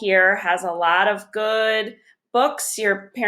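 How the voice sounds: A natural reading voice is heard. The background is quiet.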